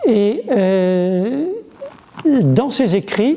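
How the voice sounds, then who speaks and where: Lively intonation from a man, set against noticeable background noise. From French Flanders (Bailleul). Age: 70s. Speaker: historian and author. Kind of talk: interview. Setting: museum. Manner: halting, many fillers.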